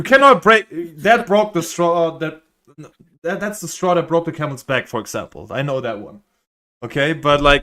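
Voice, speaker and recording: Over music in the background, a speaker with a non-native accent talks at a moderate pace with very wide pitch swings. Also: man. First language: not English. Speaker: streamer reacting to content. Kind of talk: casual chat.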